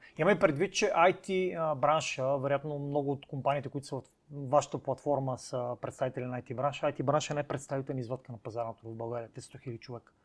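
Speaking at a fairly quick pace with hardly any pauses, a man with an unremarkable speaking voice and a fairly high pitch shows ordinary pitch variation and big swings in loudness. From Bulgaria, Cherven Bryag. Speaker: podcast host. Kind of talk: casual interview.

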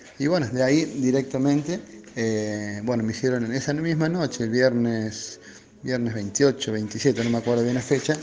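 Against noticeable background noise, a man with a medium pitch speaks at a fairly slow pace with ordinary pitch variation. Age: 40s. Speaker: recovered COVID patient, electronics shop employee. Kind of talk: testimony. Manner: halting.

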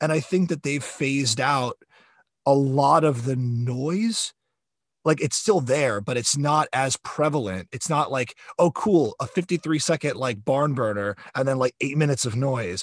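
The background is quiet and the sound dry and close, with no echo. A man with an American accent speaks at a moderate pace with ordinary pitch variation. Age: 40s. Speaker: podcast host. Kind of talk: casual chat.

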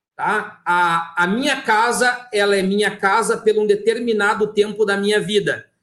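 Speaking in a southern Brazilian accent, a man has a high pitch. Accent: gaúcho Brazilian Portuguese. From southern Brazil, Rio Grande do Sul (Santo Ângelo). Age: 30s. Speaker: business owner. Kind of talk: live-stream interview. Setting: live video stream.

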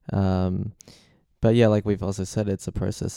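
With an Australian accent, a man speaks at a moderate pace in a fairly low pitch with a dark, mellow tone. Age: 20s. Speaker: guest on a faith podcast. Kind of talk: casual Bible discussion.

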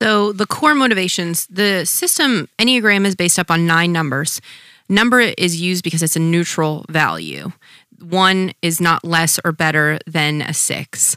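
In a very clean, dry, close recording with no echo and a silent background, a bright, sharp tone comes through at a moderate pace with ordinary pitch variation. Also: woman, fairly low pitch for a woman. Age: 20s. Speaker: podcast co-host, physician assistant. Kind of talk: casual chat.

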